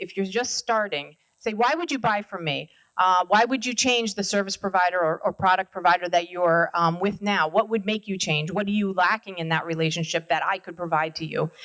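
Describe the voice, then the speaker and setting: A woman's medium-pitched voice at a fairly quick pace, with ordinary pitch variation and hardly any pauses. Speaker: marketing executive and guest speaker. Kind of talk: business talk to an audience. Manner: fast.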